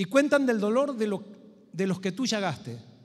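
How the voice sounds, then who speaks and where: Music plays in the background as a man talks at a fairly quick pace. His pitch is high, and his intonation is lively. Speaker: pastor. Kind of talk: sermon. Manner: fast.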